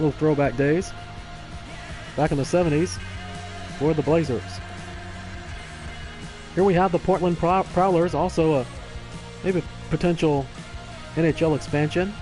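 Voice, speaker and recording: Over music in the background, a man with a Texan accent talks with ordinary pitch variation and very even loudness, leaving long, frequent pauses. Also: moderate pace. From Texas. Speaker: sports gamer and commentator. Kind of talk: casual gameplay commentary on a live stream.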